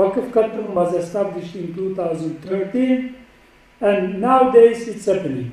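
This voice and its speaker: A man with a Turkish accent talks with ordinary pitch variation, with audible room echo and noticeable background noise. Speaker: professor. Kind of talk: lecture.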